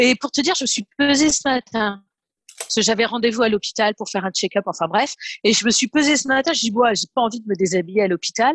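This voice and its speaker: A woman speaks with lively intonation at a fairly high pitch. The sound is dry and close with no echo. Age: 30s. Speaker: program participant giving testimonial. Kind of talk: testimony. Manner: halting.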